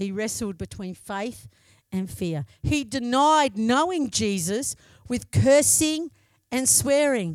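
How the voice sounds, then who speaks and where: In a very clean recording with a silent background, a woman with an Australian accent speaks very slowly at a fairly high pitch, her pitch swinging very widely. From Australia, Broken Hill. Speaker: lay preacher. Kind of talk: sermon. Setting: church.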